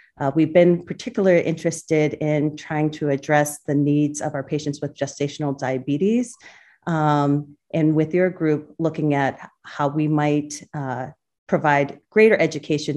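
A woman's very deep, low voice with a dark, mellow tone and an American accent, over a quiet background. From central Massachusetts, US. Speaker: obstetrician gynecologist. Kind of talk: interview. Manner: halting, many fillers.

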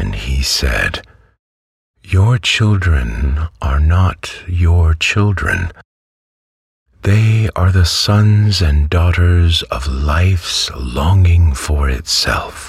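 A man with a very deep, low pitch, a gentle, soothing tone and lively intonation, at a very slow pace. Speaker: audiobook narrator. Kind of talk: literary audiobook reading, bedtime story. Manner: slow, soothing, calm; gentle, hushed, measured, unhurried.

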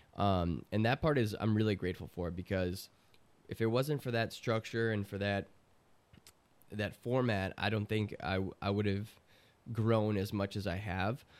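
With an American accent, a man talks at a moderate pace with ordinary pitch variation and long, frequent pauses. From Chicago. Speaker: trumpet player and producer. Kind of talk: casual chat.

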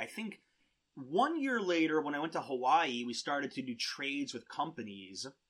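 A man talks at a moderate pace. His tone is bright and sharp, with big pitch swings.

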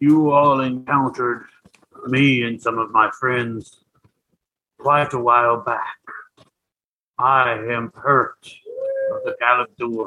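A man uses a put-on character voice at a medium pitch, rumbling along at a very slow pace with long, frequent pauses.

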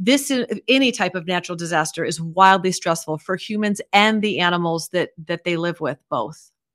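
A woman at a medium pitch, speaking at a moderate pace. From Iowa, US Midwest. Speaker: veterinarian. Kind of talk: interview.

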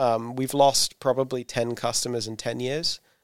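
Against a silent background on a very clean recording, a man with a southern English accent speaks at a medium pitch in a monotone, flat intonation, the sound dry and close with no echo. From southern England. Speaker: startup founder and CEO. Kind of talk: interview. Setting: in-person in an office.

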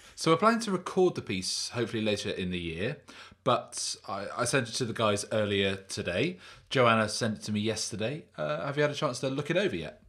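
Swinging his pitch very widely, a man speaks at a fairly quick rate. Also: medium pitch for a man. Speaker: podcast host. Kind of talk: casual chat. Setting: video call.

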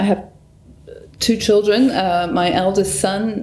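Amid audible room echo, a woman with a medium pitch talks at a fairly slow pace with ordinary pitch variation. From northern England, Newcastle upon Tyne. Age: 60s. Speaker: painter. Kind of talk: interview. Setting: artist's studio.

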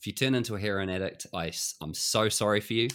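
The recording is very clean, with a silent background. A man with a New Zealand accent speaks in a fairly low pitch with lively intonation. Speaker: podcast co-host. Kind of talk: casual chat.

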